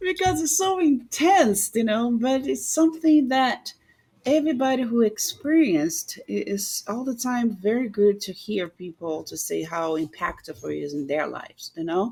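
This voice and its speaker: A woman's fairly high, dark and mellow voice with a Brazilian accent, moderate in pace and full of very wide pitch swings. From Rio de Janeiro, Brazil. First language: Portuguese. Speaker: samba teacher and dancer. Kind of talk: podcast interview answer.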